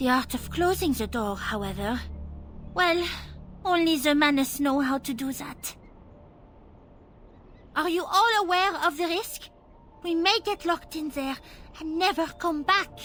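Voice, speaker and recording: A woman's put-on character voice at an extremely high pitch, lively in intonation, at a moderate pace with long, frequent pauses over clear music in the background. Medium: video game. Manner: brisk, commanding.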